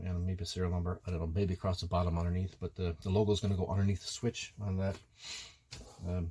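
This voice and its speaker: A man with an Irish accent talks at a very fast pace and a fairly low pitch. His tone is dark and mellow, and somewhat breathy. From Ireland. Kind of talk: casual product review to camera.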